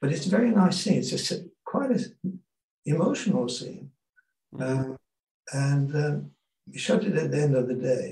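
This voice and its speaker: This man's voice is fairly high-pitched, with a dark, mellow tone, vocal fry and lively intonation. He leaves long, frequent pauses. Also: moderate pace. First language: Hungarian. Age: 80s. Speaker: film and TV director. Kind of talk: interview, reminiscing. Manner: halting, hesitant with many fillers.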